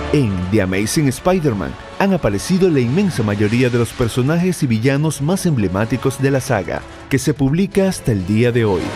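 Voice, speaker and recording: Over music in the background, a man speaks at a medium pitch with very wide pitch swings. His loudness stays very even. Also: moderate pace. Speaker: voice-over narrator. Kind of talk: documentary narration.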